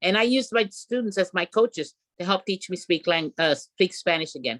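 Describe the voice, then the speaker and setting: A woman's plain, everyday voice, with an American accent, medium pitch, lively intonation and a fairly quick pace, in a dry, close sound with no echo. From rural New Mexico, US. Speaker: retired PE teacher. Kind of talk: interview.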